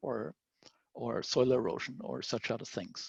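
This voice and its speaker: A man with an Austrian accent speaks at a moderate pace and medium pitch, with ordinary pitch variation and vocal fry. The sound is dry and close with no echo, over a quiet background. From Austria (Vienna). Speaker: scientist. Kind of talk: lecture.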